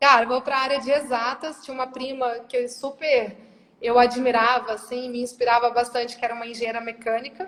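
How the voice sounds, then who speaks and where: With a strong Minas Gerais accent, a woman talks at a fairly quick pace in a high pitch and a monotone, flat intonation. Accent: strong Minas Gerais (mineiro). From Brazil, Rondônia then Minas Gerais. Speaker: corporate operations director. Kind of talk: interview. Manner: casual, conversational.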